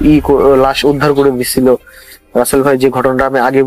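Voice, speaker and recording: A man speaks with a fairly high pitch. Music plays in the background. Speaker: guest sharing a supernatural experience. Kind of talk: casual spoken storytelling to a radio host.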